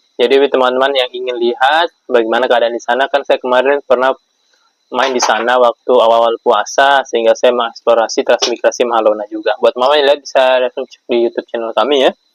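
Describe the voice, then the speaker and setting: A man delivers his words at a very fast pace, medium in pitch and monotone, with flat intonation. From Java, Indonesia. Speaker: vlogger, transmigrant farmer. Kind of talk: casual Q&A vlog. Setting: at home at iftar meal.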